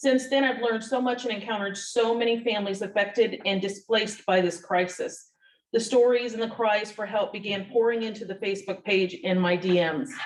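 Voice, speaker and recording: She has a normal speaking voice, fairly high in pitch with ordinary pitch variation. The woman talks at a fairly quick pace with hardly any pauses. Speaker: tenant advocate. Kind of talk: reading aloud.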